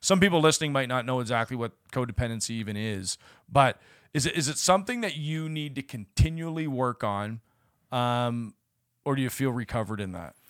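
On a very clean recording with a silent background and a dry, close sound with no echo, a man speaks in a normal speaking voice at medium pitch, fairly quick and with lively intonation. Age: 40s. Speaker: church ministry podcast host. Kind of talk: casual faith interview.

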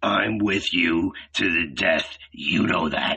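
Putting on a character voice, a man speaks slowly at a low pitch with ordinary pitch variation, a bright, sharp tone, a slightly husky edge and vocal fry.

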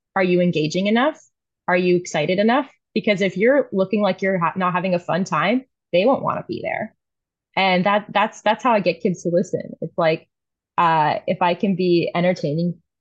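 A woman with a plain, everyday voice at medium pitch, fairly quick pace, and ordinary pitch variation. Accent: American. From US South, New Orleans. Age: 20s. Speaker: artist. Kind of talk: casual chat.

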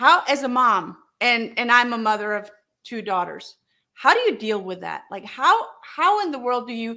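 A woman with a high pitch and a bright, sharp tone speaks at a moderate pace. Her intonation is lively and her loudness swings widely. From Germany. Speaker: podcast host. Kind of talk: interview.

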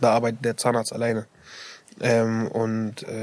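Flat and monotone, a man speaks at a medium pitch. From Iraq. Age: 18. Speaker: dental assistant trainee. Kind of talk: interview. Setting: studio. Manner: hesitant, many fillers.

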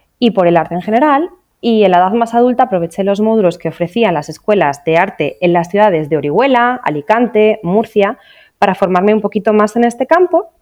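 Lively in intonation, a woman speaks at a medium pitch and a fairly quick pace. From Asturias, northern Spain. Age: 30s. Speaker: real estate agent. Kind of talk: casual interview. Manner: halting.

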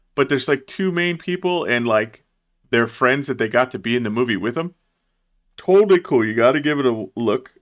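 A man's ordinary speaking voice at medium pitch, fairly quick, in a very clean recording with a silent background. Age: 30s. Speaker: movie podcast co-host. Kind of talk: casual chat.

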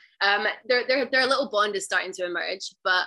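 A woman's fairly high, bright, sharp voice in a west of Scotland accent, with ordinary pitch variation. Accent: west of Scotland Scottish. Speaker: stay-at-home mom and outdoor adventurer. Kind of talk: casual interview chat.

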